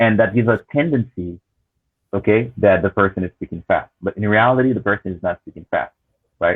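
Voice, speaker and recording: A man with a normal speaking voice talks at a fairly quick pace with ordinary pitch variation. His loudness swings a lot. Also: fairly low pitch for a man. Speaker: language teacher. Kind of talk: panel discussion.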